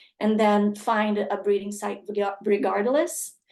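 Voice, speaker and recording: A woman at medium pitch and moderate pace. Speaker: conservation dog program presenter. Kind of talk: webinar presentation. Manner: halting.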